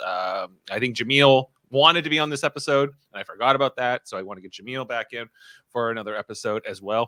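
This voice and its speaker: A man at medium pitch, very fast, with ordinary pitch variation and a bright, sharp tone, in a dry, close sound with no echo on a very clean recording with a silent background. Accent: Ontario. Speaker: podcast co-host and producer. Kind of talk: casual chat. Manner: hesitant, many fillers.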